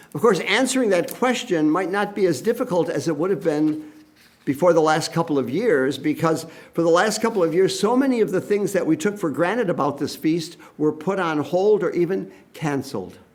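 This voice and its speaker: In a room with audible echo, a man with a high pitch speaks at a fairly quick pace with lively intonation. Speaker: priest. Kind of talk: sermon.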